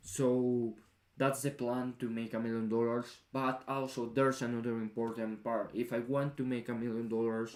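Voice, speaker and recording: This man speaks in a monotone with flat intonation. The recording is very clean, with a silent background. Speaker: vlogger. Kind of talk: casual vlog monologue. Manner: halting, self-correcting.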